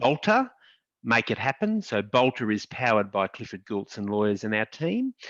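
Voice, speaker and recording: Against a quiet background, a man with an Australian accent talks in a fairly low pitch with fairly even intonation, the sound dry and close with no echo. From Australia, regional Queensland. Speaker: lawyer, law firm founder. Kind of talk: panel discussion.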